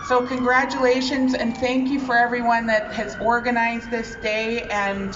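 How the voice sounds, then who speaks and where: A woman speaks at a moderate pace with a Canadian accent. Audible room echo and noticeable background noise surround her voice. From Winnipeg, Manitoba, Canada (Ojibwe). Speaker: provincial politician. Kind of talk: public speech at outdoor ceremony. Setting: outdoors at flag-raising ceremony.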